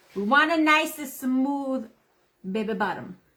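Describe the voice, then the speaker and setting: Loud and with lively intonation, a woman talks. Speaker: craft livestream host. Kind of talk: live craft tutorial with casual chat.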